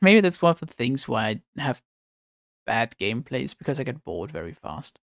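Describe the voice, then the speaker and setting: At a fairly quick pace, a man speaks with vocal fry and very wide pitch swings in a dry, close sound with no echo. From Germany. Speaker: game streamer. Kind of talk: casual live-stream chat. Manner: halting, many fillers. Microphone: new microphone, may be too loud or quiet.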